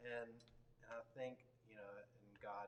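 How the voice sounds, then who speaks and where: Somewhat breathy, a man speaks at a fairly slow pace with a Texan accent. Audible room echo surrounds his voice. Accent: Texan American. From Texas, Dallas area. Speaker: worship leader. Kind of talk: interview. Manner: halting.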